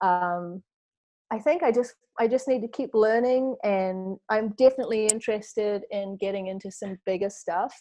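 Dark, mellow tone in a New Zealand accent, at a moderate pace with ordinary pitch variation and a quiet background. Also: woman, fairly high pitch for a woman. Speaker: model and real estate investor. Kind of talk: interview. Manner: chatty, frequent filler words.

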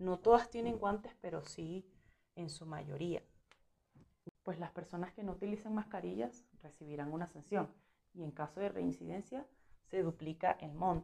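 A woman's fairly low voice with a dark, mellow tone and long, frequent pauses. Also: ordinary pitch variation, moderate pace. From Venezuela. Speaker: journalist. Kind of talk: interview.

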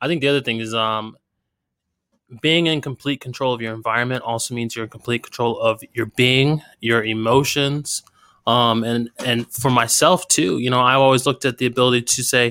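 This voice has a bright, sharp tone and an American accent, with a dry, close sound and no echo. It moves at a moderate pace with fairly even intonation. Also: man. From US. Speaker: military veteran and entrepreneur. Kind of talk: casual chat. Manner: halting.

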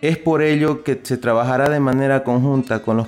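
A man with a medium-pitched voice speaks at a moderate pace with ordinary pitch variation. It is a plain, everyday voice. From Bolivia, Santa Cruz de la Sierra. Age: 30s. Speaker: environmental engineer. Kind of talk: radio interview statement. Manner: formal.

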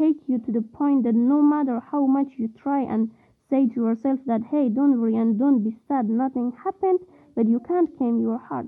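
Speaking at a moderate pace, a woman has a high pitch with ordinary pitch variation. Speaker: young Afghan woman barred from education. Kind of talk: recorded testimony. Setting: pre-recorded voice message.

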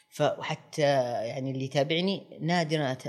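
Speaking at a fairly high pitch, a man uses ordinary pitch variation. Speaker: restaurant critic. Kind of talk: interview. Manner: halting.

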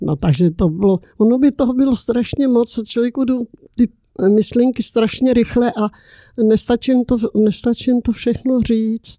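A woman speaks at a fairly slow pace with a dark, mellow tone. Her pitch is fairly high, and her loudness stays very even. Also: ordinary pitch variation, dry, close sound with no echo. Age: 80s+. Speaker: interviewee, great-aunt. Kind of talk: casual chat. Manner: halting.

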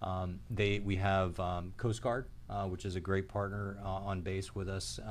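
A man with an ordinary speaking voice, fairly low in pitch, at a fairly slow pace. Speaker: military base commander. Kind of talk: casual interview. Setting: live video.

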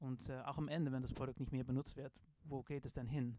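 Fairly high in pitch and dark, mellow in tone, a man with a Dutch accent talks at a moderate pace with fairly even intonation. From Netherlands. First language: Dutch (speaking German). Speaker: design professor. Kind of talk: interview. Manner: halting, many filler sounds.

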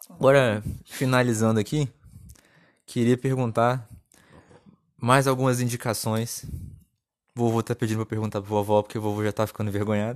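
A man's medium-pitched, monotone voice with flat intonation and long, frequent pauses. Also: moderate pace, very clean recording, silent background. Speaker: podcast host. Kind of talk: casual chat.

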